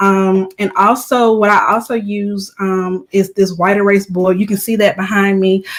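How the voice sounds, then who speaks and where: Speaking at a fairly slow pace, a woman barely pauses at all. Her medium-pitched voice stays monotone, with flat intonation. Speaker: online business book reviewer, live streamer. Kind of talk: live stream book review. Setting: live stream. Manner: soft-spoken; frequent filler ums.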